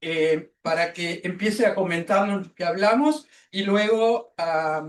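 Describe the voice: A woman with a fairly low pitch speaks at a slow pace.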